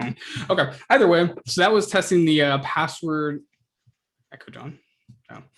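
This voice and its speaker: Loudness swings widely as a man talks with ordinary pitch variation and long, frequent pauses. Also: fairly high pitch for a man. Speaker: student club workshop presenter; presenter. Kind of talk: tutorial. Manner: fast; casual, hesitant with fillers. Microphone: video call.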